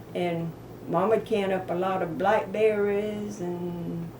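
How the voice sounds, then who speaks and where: Against noticeable background noise and audible room echo, a woman talks at medium pitch with fairly even intonation. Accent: Southern US. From US South, south Georgia. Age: 80s+. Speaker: elderly relative sharing memories. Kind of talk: casual family interview.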